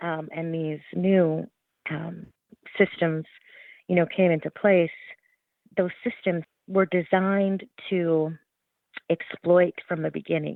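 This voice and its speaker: A woman with a Canadian accent speaks at a very slow pace and a fairly low pitch. Her intonation is monotone and flat, with long, frequent pauses. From Alberta, Canada. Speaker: journalist and author. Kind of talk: interview. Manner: many fillers and repetitions.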